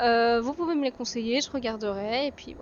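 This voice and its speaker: Noticeable background noise sits behind a woman speaking at a high pitch. Her pace is moderate and her pitch variation ordinary. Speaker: gaming streamer. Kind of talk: gameplay commentary. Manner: casual, hesitant with many fillers.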